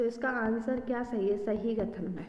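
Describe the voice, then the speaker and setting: Very slow speech with fairly even intonation, audible room echo and noticeable background noise. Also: woman. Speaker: exam prep teacher. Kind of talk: tutorial.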